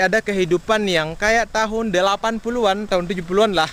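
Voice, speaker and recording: A man speaks in a raised, projected voice at a fairly quick pace. Noticeable background noise runs under the speech. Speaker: farming vlogger. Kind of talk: vlog talk to camera. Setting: outdoors in rice field. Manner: loud. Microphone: action camera built-in mic, half a meter away.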